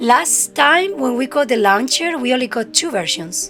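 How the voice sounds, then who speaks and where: Music plays in the background. The speaker talks at a moderate pace with a strong Spanish accent. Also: woman. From Spain. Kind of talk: casual game review talk to camera.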